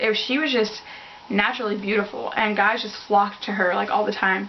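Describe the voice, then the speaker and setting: A woman with a fairly high pitch is heard through audible room echo and noticeable background noise. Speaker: beauty vlogger. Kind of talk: casual chat. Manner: hesitant.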